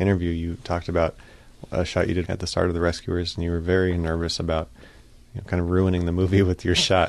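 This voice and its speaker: A man talks at a very fast pace in a very deep, low pitch. His intonation stays fairly even. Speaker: podcast host and animator. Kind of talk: interview.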